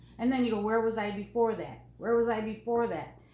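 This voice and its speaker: With audible room echo, a woman talks at a moderate pace and a medium pitch. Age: 60s. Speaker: NLP coach. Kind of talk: casual interview.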